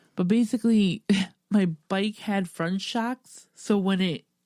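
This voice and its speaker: Mumbling at a medium pitch, a woman speaks with a dark, mellow tone and fairly even intonation. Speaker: podcast host. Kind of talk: casual chat.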